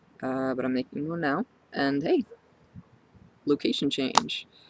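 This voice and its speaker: Over noticeable background noise, a man speaks at a medium pitch and a fairly slow pace, the sound dry and close with no echo. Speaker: transgender vlogger. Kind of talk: personal video diary. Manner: halting, many fillers.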